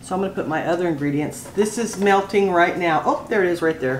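Talking at a fairly quick pace, a woman with a fairly low pitch is heard with audible room echo and light background noise. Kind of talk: tutorial. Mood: relaxed, homey. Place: kitchen.

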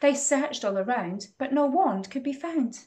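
Slightly mellow, high-pitched woman's voice with lively intonation and a fairly slow pace.

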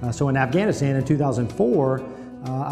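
With a Midwestern American accent, a man speaks at a fairly quick pace and a fairly high pitch. Music plays in the background. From Ohio. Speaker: Marine master sergeant. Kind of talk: video letter reply to a child. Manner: casual, friendly, hesitant.

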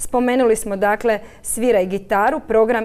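Here a woman is talking. Her pace is moderate. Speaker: centre director. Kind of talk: studio interview. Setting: studio. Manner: hesitant, filler words. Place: studio. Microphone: lapel.

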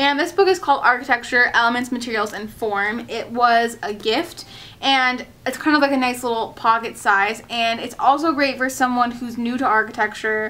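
The speaker is a woman. She has a high voice. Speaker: architecture student vlogger. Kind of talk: casual vlog chat. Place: home room. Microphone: camera far.

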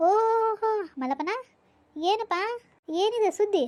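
A woman's squeaky, put-on character voice, extremely high-pitched, with lively intonation. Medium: cartoon.

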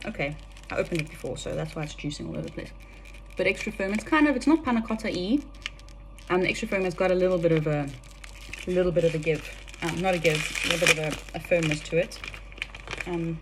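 A woman talks at a very fast pace. There is light background noise. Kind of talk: casual cooking tutorial. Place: kitchen. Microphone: phone near.

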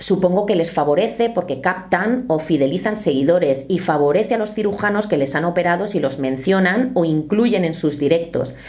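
Slightly mellow tone with lively intonation and few pauses. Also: woman, fairly low pitch for a woman, moderate pace.

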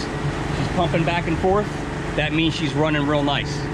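The man keeps a moderate pace as loud noise carries on in the background. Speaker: fishing guide. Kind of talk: tutorial. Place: boat. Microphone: camera far.

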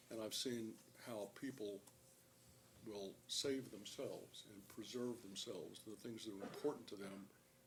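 A man speaks at a medium pitch and a moderate pace, with fairly even intonation. Noticeable background noise runs under the recording. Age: 70s. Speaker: public commenter, lawyer and Vietnam veteran. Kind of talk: public comment at county meeting. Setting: public meeting room. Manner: halting, many uh fillers.

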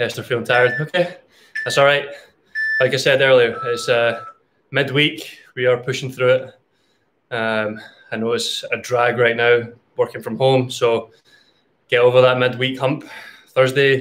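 A man speaks at a moderate pace with fairly even intonation. His speech has long, frequent pauses. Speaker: online fitness instructor. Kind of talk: live-stream workout coaching. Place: garage. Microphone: webcam.

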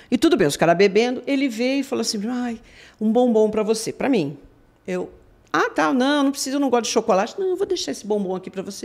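Her pitch is fairly high and swings very widely. The woman talks at a fairly quick pace. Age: 60s. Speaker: police forensic expert; guest. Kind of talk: live interview. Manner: animated. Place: studio. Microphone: studio mic.

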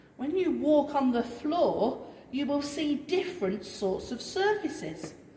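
A woman talks at a fairly slow pace with a high pitch. Noticeable background noise can be heard. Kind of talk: tour guide talk to children. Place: church. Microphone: camera far.

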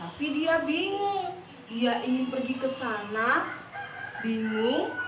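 A woman talks very slowly in a high pitch. There is noticeable background noise. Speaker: teacher storyteller. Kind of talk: storytelling to children. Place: home room. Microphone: camera far.

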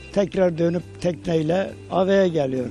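Speaking at a fairly slow pace, a man has a high pitch with ordinary pitch variation. The sound is dry with no echo, and faint music plays in the background. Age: 80s+. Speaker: farmer living alone on island. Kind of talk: interview answer. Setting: outdoors. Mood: calm, content, somewhat wistful. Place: open country. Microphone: handheld.

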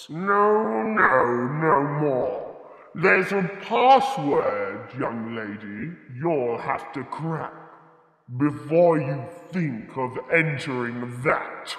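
Using a growling, put-on character voice, a man of fairly high pitch speaks very slowly with a slight echo.

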